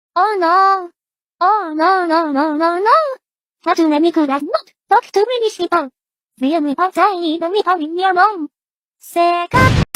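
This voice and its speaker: A cartoonish character voice pitched extremely high speaks at a moderate pace, broken by long, frequent pauses. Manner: frantic, repetitive.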